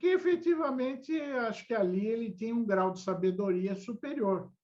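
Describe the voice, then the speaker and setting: This man talks at a fairly slow pace in a high pitch. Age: 60s. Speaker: lawyer. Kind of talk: interview.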